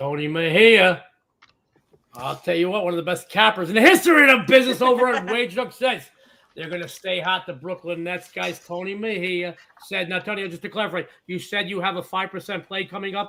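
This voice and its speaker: Raising and projecting his voice, a man speaks at a fairly quick pace and high pitch, with big swings in loudness and ordinary pitch variation. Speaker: sports betting show host. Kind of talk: casual chat.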